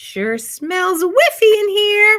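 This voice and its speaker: Squeaky and extremely high-pitched, a woman performs a put-on character voice. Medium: read story. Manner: mild, calm.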